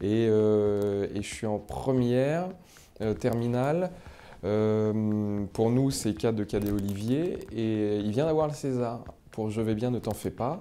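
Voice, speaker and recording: A man with a dark, mellow tone and fairly low pitch. He speaks very slowly, with ordinary pitch variation. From France, Paris region (Seine-et-Marne). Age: 30s. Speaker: comedian. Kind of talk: interview, casual storytelling. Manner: hesitant, many fillers.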